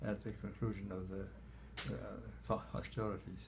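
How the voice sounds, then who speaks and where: A man speaks at a fairly low pitch. His voice has vocal fry. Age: 80s+. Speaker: war veteran, former fighter pilot. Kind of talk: interview answer.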